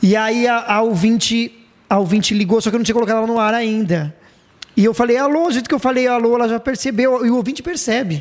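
Talking at a very fast pace, a man with an extremely high pitch keeps very even loudness and ordinary pitch variation. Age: 30s. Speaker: radio announcer and podcast host. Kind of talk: casual chat.

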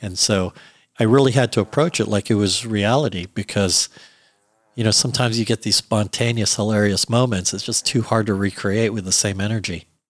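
A man's normal speaking voice, fairly low-pitched with fairly even intonation and a fairly quick pace, dry and close with no echo in a very clean recording, silent background. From US, Virginia (Alexandria). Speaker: production sound mixer and director. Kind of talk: interview conversation.

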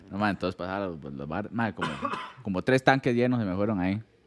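Noticeable background noise sits behind a man speaking at a very fast pace. His pitch is fairly low and his intonation lively. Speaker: podcast host. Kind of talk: casual chat.

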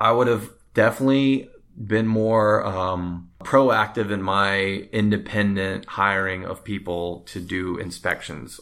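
A plain, everyday voice with fairly even intonation comes through on a very clean recording with a silent background. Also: man, fairly low pitch for a man, fairly slow pace. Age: 30s. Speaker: first-time home buyer. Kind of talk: interview.

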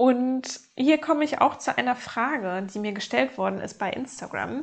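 With an unremarkable speaking voice, a woman talks at a fairly slow pace with ordinary pitch variation against a quiet background. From Germany, North Rhine-Westphalia. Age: 30s. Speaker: podcast host and life coach. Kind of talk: personal monologue.

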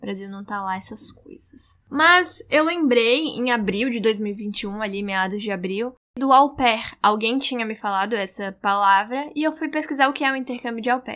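Bright and sharp in tone, a woman speaks fairly high with lively intonation, hardly any pauses and big swings in loudness. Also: moderate pace. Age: 20s. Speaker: journalism student, podcaster. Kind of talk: solo monologue, personal diary.

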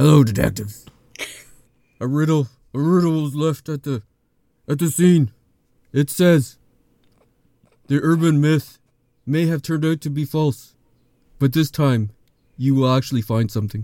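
A man uses a put-on character voice at a fairly high pitch. He moves at a fairly slow pace with long, frequent pauses. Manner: stoic, growly.

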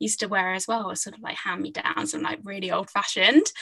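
Her tone is bright and sharp, with a southern English accent. The woman keeps a fairly quick pace. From England, Hertfordshire. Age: 20s. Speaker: novelist. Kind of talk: interview.

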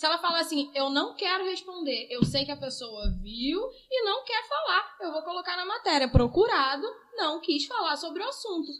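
Over noticeable background noise, a woman talks at a moderate pace. Her extremely high pitch makes very wide swings. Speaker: local news journalist. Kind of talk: casual interview chat.

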